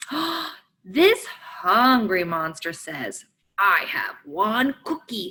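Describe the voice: Behind the voice, all is quiet. The reading aloud is plain.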